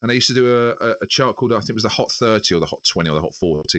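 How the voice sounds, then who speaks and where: A man talks at a very fast pace with a London accent. His pitch swings very widely. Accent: Southern English (London). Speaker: radio presenter. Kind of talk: casual interview chat.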